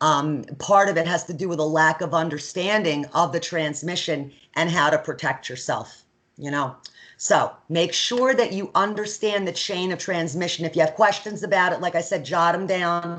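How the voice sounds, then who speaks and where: In an unremarkable speaking voice, a woman with a fairly low pitch talks at a moderate pace with ordinary pitch variation. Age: 50s. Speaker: nursing instructor. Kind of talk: lecture. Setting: video call. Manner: conversational.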